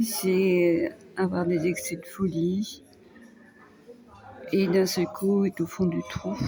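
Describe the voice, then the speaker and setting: A woman's calm tone at a very slow pace, with long, frequent pauses and music in the background. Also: medium pitch for a woman, ordinary pitch variation. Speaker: vlogger, care worker. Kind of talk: personal vlog monologue. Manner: calm, hesitant.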